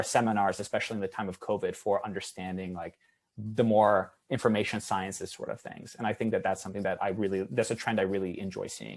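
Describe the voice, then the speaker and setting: The background is quiet. A man talks at a fairly quick pace and a fairly low pitch. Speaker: academic researcher, roundtable panelist. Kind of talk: academic roundtable discussion. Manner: fast.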